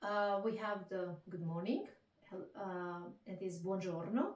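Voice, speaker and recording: Someone speaks with an Italian accent over noticeable background noise. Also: woman. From Italy. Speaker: Italian language teacher. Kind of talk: interview answer.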